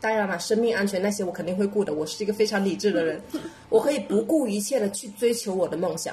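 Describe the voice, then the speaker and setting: A woman at medium pitch, in a Cantonese accent, with ordinary pitch variation, a very fast pace and noticeable background noise. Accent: Cantonese-accented Mandarin. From Guangdong, southern China. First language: Cantonese (speaking Chinese). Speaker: podcast co-host, entrepreneur. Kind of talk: casual chat.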